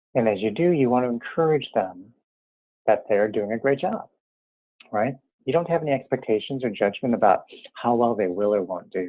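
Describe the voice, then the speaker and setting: A medium-pitched man at a fairly quick pace, lively intonation, long and frequent pauses. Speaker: interior alignment teacher. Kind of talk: tutorial; guided meditation. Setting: teleconference. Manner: normally quick when focused.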